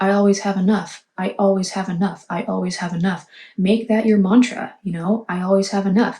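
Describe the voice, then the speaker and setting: A woman speaks quietly at a fairly quick pace, her medium-pitched voice somewhat breathy. The tone is dark and mellow, with monotone, flat intonation. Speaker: tarot reader. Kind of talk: tarot reading monologue. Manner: quiet, hushed.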